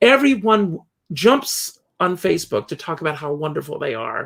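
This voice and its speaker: A man with an ordinary speaking voice and an American accent, lively intonation and a moderate pace, on a very clean recording with a silent background. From US South, South Carolina. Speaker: entertainer and interviewer. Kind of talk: casual interview chat.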